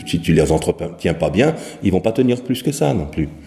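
There is noticeable background noise. The pitch variation is ordinary. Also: man. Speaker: professional singer and vocal teacher. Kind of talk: interview. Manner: halting.

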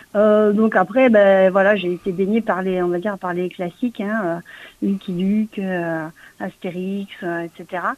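A woman with a medium-pitched voice talks very slowly in a monotone, flat intonation. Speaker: comic book writer, former schoolteacher. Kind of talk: interview.

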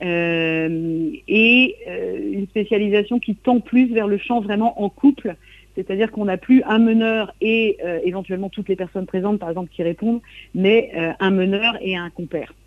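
This woman has a normal speaking voice at medium pitch. She speaks at a moderate pace with ordinary pitch variation. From Brittany, coastal Trégor. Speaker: singer and songwriter. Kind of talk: radio interview. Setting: remote interview from Brittany.

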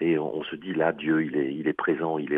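The speaking pace is moderate. This man's voice sits very deep and low. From Alsace. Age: 60s. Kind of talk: radio interview. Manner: hesitant, with repetitions.

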